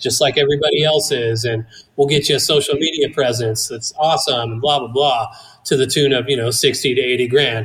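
In a normal speaking voice with an American accent, the speaker goes at a fairly quick pace. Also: man. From Northern California foothills (Placerville). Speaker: cannabis grower and business owner. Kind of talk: interview.

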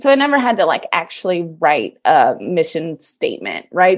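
Very wide pitch swings from a woman with an American accent, medium in pitch, at a moderate pace. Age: 30s. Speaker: digital marketing business owner. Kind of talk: interview.

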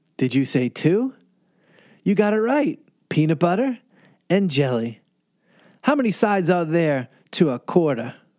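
High-pitched speech from a man with a Boston accent, very wide pitch swings, a moderate pace and long, frequent pauses, on a very clean recording with a silent background. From Boston, Massachusetts. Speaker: pastor. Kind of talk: bedtime story for children. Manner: animated.

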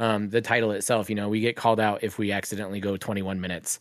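This is a man's voice. His pitch sits fairly low. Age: 30s. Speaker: podcaster. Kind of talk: casual chat.

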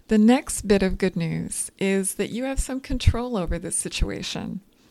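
A woman with a normal speaking voice talks at a fairly slow pace and a medium pitch with ordinary pitch variation. The recording is very clean with a silent background. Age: 40s. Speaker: dietitian and podcast host. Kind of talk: solo educational podcast.

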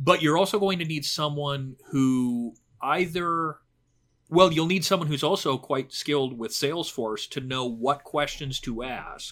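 Using a normal speaking voice, a man with a fairly high pitch talks at a fairly slow pace with ordinary pitch variation. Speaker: e-learning technology consultant. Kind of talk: casual interview conversation. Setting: video call.

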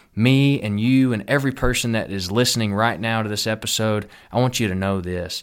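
A man's fairly low voice with a Texan accent, at a fairly quick pace, in a very clean recording against a silent background. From Texas. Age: 20s. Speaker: pastor. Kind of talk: sermon-style podcast monologue. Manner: earnest, animated.

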